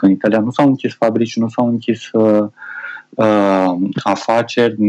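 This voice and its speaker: A man's pitch rests in the medium range. He talks at a moderate pace. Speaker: IT specialist and TV presenter. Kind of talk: casual chat.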